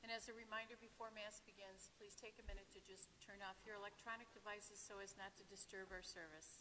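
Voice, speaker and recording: Light background noise sits behind a woman's voice. She talks at a fairly quick pace. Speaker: lector or commentator at Mass. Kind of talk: liturgical announcements. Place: church.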